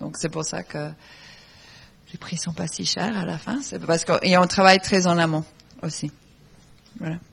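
A woman with a fairly low pitch and vocal fry speaks at a fairly slow pace, with ordinary pitch variation, big swings in loudness, and long, frequent pauses. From Argentina, raised in England. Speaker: fashion designer. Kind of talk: panel talk.

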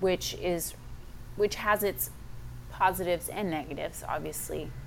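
This is a woman speaking. She talks with a Texan accent. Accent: Texan American. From Texas. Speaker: fitness coach. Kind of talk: interview.

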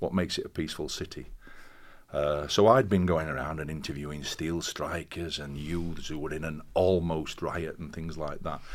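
In a Yorkshire accent, a man with a very deep, low pitch speaks at a moderate pace with fairly even intonation. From northern England, Castleford, West Yorkshire. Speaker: professor. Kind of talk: interview.

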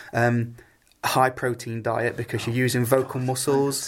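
A man talks at a medium pitch with fairly even intonation. His voice is somewhat breathy. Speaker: singer. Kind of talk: interview chat.

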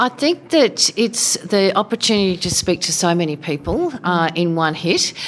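In an Australian accent, a woman talks at a moderate pace with lively intonation, a medium pitch and hardly any pauses, against noticeable background noise. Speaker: former politician. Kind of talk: short interview. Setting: live event.

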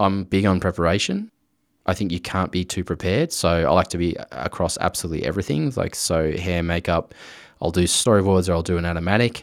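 With an Australian accent, a man talks at a very fast pace in a very deep, low voice with fairly even intonation. The recording is very clean, the background silent. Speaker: director and visual effects artist. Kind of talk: interview.

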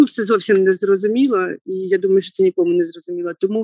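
This woman has an ordinary speaking voice. Her pitch is medium and her intonation fairly even. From central Ukraine, Kirovohrad region. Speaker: lawyer turned soldier. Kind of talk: interview.

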